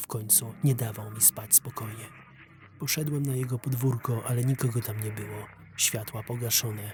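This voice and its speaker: Medium pitch from a man, moderate pace, music in the background. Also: fairly even intonation. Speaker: voice-over narrator. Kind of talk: first-person horror story narration for an animation. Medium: dub.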